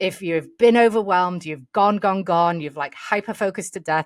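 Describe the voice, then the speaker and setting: A woman at a fairly quick pace with ordinary pitch variation, in a dry, close sound with no echo, on a very clean recording with a silent background. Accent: English. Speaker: podcast host. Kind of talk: casual interview. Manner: animated.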